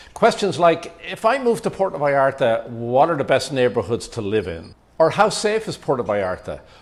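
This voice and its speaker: A man with an Irish accent speaks at a moderate pace with hardly any pauses. His fairly high voice carries vocal fry and very wide pitch swings. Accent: Irish, noticeable after decades in the US. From Ireland. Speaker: YouTube vlogger and real estate agent. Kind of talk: casual vlog talk to camera.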